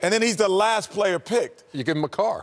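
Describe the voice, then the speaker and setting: The man's delivery keeps to a moderate pace. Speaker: TV sports analyst. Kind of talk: lively panel debate. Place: studio. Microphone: lapel.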